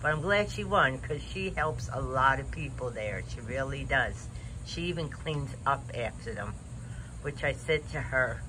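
Over noticeable background noise, a man speaks at a moderate pace. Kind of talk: casual vlog chat. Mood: relaxed, reflective. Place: garden. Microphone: phone near.

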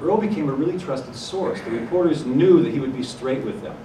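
Lively intonation marks this man's speech in an American accent. Light background noise and audible room echo are present. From US Midwest, Ohio. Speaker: journalist and news anchor; journalist, news anchor. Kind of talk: conference talk. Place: hall.

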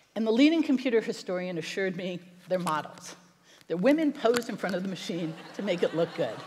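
A woman speaks with an American accent, somewhat breathy. Her pitch swings very widely. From United States. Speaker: internet attorney and documentary producer. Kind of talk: keynote speech. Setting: stage with audience. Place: stage. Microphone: headset.

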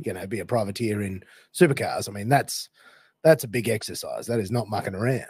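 A man with a medium pitch speaks very fast in a somewhat breathy, dark, mellow tone. The recording is very clean, with a silent background. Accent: Australian. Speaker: podcast host. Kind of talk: interview. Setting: morning recording.

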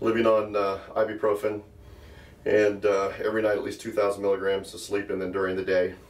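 A man's fairly low-pitched voice at a fairly quick pace, over noticeable background noise. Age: 60s. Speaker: self-defense and fitness instructor. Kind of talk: patient testimonial. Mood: upbeat, convinced. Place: gym. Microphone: phone near.

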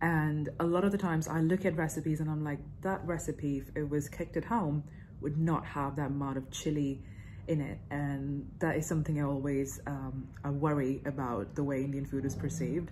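Her voice is very deep and low, with a dark, mellow tone and a somewhat breathy quality, as the woman speaks at a moderate pace with fairly even intonation over light background noise. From India. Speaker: YouTuber reacting to cooking videos. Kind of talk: reaction video commentary. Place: home room. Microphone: phone near.

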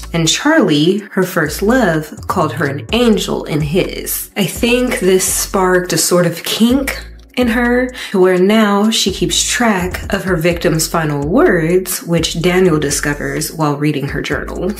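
This woman takes a fairly slow pace. Faint music sits behind her voice. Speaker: TV show recap host. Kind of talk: commentary. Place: home room. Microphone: studio mic.

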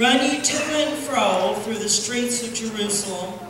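A woman talks with ordinary pitch variation. The room echoes strongly, and background noise is noticeable. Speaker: preacher. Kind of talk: sermon. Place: church.

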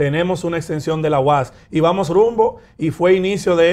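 A man with a high-pitched voice. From Dominican Republic. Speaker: mayor and politician; mayor, politician. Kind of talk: interview. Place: studio. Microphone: lapel.

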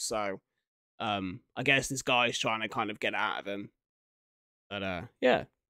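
At a moderate pace, a man speaks with a fairly bright tone.

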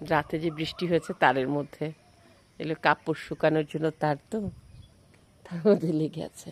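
A woman with a very deep, low pitch speaks with big swings in loudness. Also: fairly even intonation, dry, close sound with no echo. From Bangladesh, Jessore. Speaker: vlogger. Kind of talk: casual vlog narration. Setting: outdoors.

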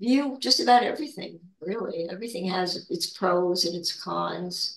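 A woman speaks with vocal fry at a fairly slow pace. Room echo is audible over a quiet background. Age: 80s+. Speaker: spiritual discussion leader; guest. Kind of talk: casual spiritual chat. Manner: halting. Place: home room. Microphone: video call.

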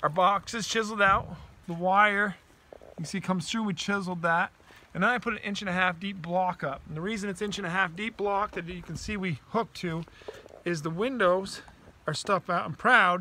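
A man speaks in a raised, projected voice at a fairly quick pace. His intonation stays fairly even, and the sound is dry with no echo. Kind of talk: tutorial. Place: open country. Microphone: phone near.

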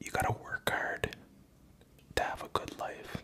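The voice is a man's whisper. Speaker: ASMR creator. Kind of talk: casual talk to camera. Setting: home video, drinking Hennessy. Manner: soft-spoken, rambling. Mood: reflective, personal story. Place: home room. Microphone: studio mic.

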